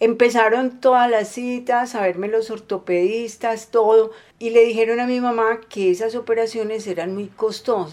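An unremarkable speaking voice at a moderate pace, with fairly even intonation and hardly any pauses. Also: woman, fairly high pitch for a woman. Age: 50s. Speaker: polio survivor. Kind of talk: testimony.

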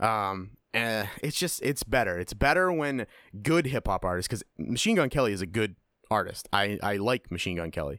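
Recorded very cleanly against a silent background, with a dry, close sound and no echo, a man speaks at a moderate pace in a fairly low pitch, his animated tone making very wide pitch swings. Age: 30s. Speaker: podcast host. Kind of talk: casual chat. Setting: studio.

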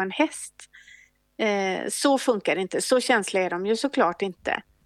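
Dry and close with no echo but with music in the background, a woman speaks at a moderate pace in a medium pitch with ordinary pitch variation. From Sweden, Gothenburg. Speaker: equine veterinarian. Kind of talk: interview.

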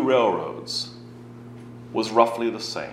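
There is noticeable background noise. A man with a British accent speaks at a fairly slow pace. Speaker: author and historian giving a talk. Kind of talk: lecture. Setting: stage with audience.

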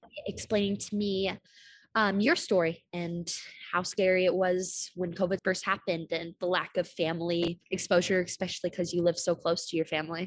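At a moderate pace, a woman speaks in a monotone, flat way at a fairly low pitch. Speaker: student podcast interviewer. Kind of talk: casual interview.

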